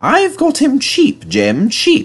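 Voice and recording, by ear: Slowly, a man puts on a character voice at an extremely high pitch with very wide pitch swings.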